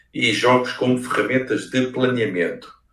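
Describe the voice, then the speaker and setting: With a European Portuguese accent, a man talks at a moderate pace, and audible room echo colors the recording. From Portugal (Leiria). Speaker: researcher and game designer. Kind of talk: lecture. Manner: hesitant, many fillers.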